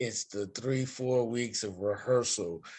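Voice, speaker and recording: This is an unremarkable speaking voice. Its pace is fairly slow. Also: man. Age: 60s. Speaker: stage actor. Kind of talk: casual interview chat. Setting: home interview.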